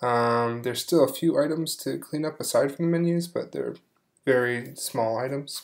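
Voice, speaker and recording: Quietly, a man speaks at a medium pitch with ordinary pitch variation. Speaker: game developer. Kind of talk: software demo. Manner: hesitant, many fillers.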